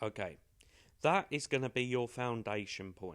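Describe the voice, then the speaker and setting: A man with a British accent talks at a fairly slow pace, his medium pitch showing ordinary variation. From Britain. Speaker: English pronunciation teacher. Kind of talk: tutorial. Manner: casual, hesitant with fillers.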